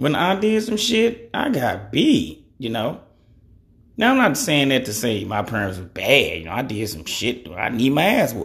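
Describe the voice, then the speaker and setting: Here is a man with a medium pitch and vocal fry. His pitch swings are very wide. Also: moderate pace. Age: 30s. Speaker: podcast host. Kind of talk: casual monologue. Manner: casual, rambling.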